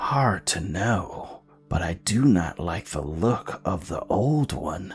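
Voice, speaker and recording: A man's whispered, put-on character voice at a very slow pace, with faint music in the background. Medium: read story. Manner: whispering.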